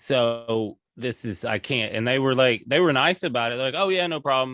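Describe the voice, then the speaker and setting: Medium-pitched male voice in a Southern US accent, bright and sharp in tone, with ordinary pitch variation, a moderate pace and a very clean recording with a silent background. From US South, rural Tennessee. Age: 40s. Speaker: comedian. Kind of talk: casual chat. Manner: animated.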